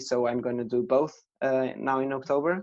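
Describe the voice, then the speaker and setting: A man speaks in a dark, mellow tone with a monotone, flat intonation. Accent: Portuguese. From Portugal. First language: Portuguese. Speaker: professional triathlete. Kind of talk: podcast interview. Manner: halting, many repetitions.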